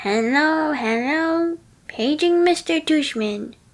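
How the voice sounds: Doing a put-on character voice, a woman speaks high and with lively intonation. Her pace is very slow.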